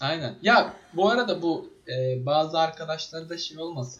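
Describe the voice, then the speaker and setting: A somewhat breathy male voice. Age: 20s. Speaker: podcast co-host, web developer. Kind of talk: casual chat. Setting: online voice call.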